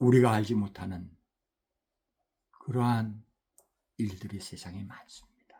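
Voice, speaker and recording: With long, frequent pauses, a man speaks slowly at a fairly low pitch, his somewhat breathy voice dark and mellow and his intonation fairly even. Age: 60s. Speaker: missionary preacher. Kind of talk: sermon.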